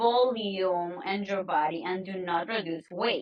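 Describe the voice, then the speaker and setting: With a Spanish accent, a woman talks at a fairly slow pace, her intonation lively. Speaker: nutrition and health coach. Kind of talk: podcast interview.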